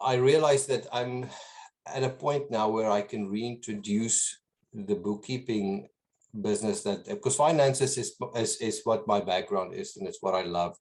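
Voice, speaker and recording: A man speaks with a slight South African accent. His intonation is lively. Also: medium pitch for a man, moderate pace. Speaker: business owner. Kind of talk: interview. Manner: halting, many repetitions.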